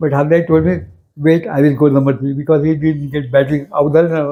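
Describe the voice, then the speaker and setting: Monotone and flat in intonation, a man speaks at a fairly high pitch. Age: 80s+. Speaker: former cricketer, painter and sculptor. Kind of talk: interview answer.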